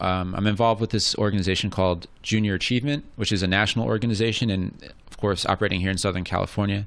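A man with an American accent at a fairly low pitch and a very fast pace, on a very clean recording with a silent background. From US suburbs. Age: 30s. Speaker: podcast co-host and poet. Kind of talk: casual chat.

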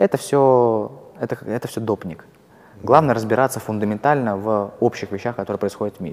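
This man talks at a fairly quick pace and a medium pitch. His pitch varies in an ordinary way. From Russia, Kursk. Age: 20s. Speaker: investor. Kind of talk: interview. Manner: hesitant with fillers.

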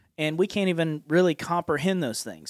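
The speaker has an Appalachian accent. The recording is very clean with a silent background and a dry, close sound with no echo. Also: man. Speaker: podcast host and preacher. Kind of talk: casual chat about scripture. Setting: studio. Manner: jovial, laughs often.

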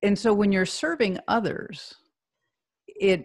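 At a fairly slow pace, a woman speaks somewhat breathily at medium pitch with ordinary pitch variation. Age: 50s. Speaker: healthcare executive and leadership advisor. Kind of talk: interview.

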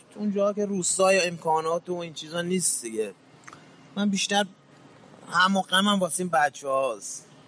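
A man speaks at a high pitch and a fairly quick pace, with ordinary pitch variation. Noticeable background noise runs behind him. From Iran, Mashhad. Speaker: street shoemaker. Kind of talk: interview testimony.

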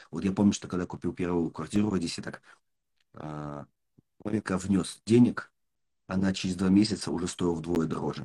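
Very deep and low, a man's voice carries a dark, mellow tone, fairly even intonation and a moderate pace. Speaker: podcast host and business mentor. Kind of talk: casual interview.

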